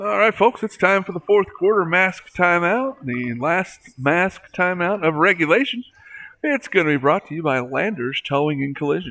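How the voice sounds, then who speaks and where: A high-pitched man with lively intonation. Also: moderate pace. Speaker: sports play-by-play announcer. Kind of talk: live commentary. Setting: school gymnasium.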